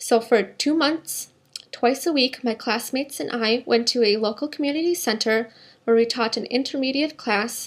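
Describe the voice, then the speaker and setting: With an American accent, a woman speaks at a high pitch with ordinary pitch variation. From US Midwest, Minnesota. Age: 20s. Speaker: job applicant, English teacher. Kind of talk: scripted self-introduction. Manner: formal.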